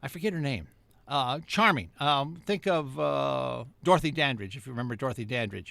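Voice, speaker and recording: A man with an American accent speaks in a fairly high pitch and a bright, sharp tone on a very clean recording with a silent background. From Southern California. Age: 70s. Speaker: radio host. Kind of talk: radio monologue. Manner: halting, many fillers.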